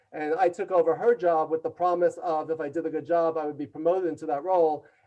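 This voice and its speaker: A very fast, dark, mellow voice in a New York accent, with fairly even intonation. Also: man, fairly high pitch for a man. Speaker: leadership consultant and author. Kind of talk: interview storytelling. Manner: loud and fast.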